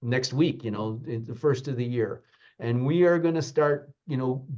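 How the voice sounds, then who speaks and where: A man speaks at a moderate pace in a dark, mellow tone, his pitch varying in an ordinary way. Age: 70s. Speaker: university president and naprapathic doctor. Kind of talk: podcast interview. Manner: animated, repetitive.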